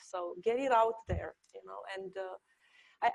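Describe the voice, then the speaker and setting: Speaking with a Romanian accent and ordinary pitch variation, a woman sounds dry and close, with no echo. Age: 40s. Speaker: architecture professor. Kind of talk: panel discussion. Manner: halting.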